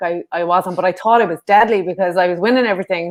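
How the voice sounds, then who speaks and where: In a northwest Irish accent, a woman speaks at a fairly quick pace, her medium pitch showing ordinary variation. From Ireland, Sligo. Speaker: former kickboxer and karate athlete. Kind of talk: interview. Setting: podcast.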